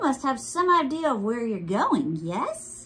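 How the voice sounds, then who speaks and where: Put-on character voice, female-sounding and high-pitched, at a fairly slow pace. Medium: read story. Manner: calm, gently probing.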